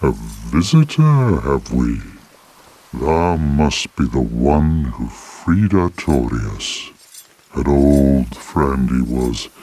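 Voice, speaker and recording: A man speaks at a very slow pace in a put-on character voice with a solemn tone. His intonation stays lively throughout. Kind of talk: archaic formal speech. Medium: video game. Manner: slow, solemn, sorrowful.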